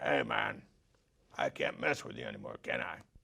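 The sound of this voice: A man speaks at a moderate pace in a put-on character voice. The voice is raspy.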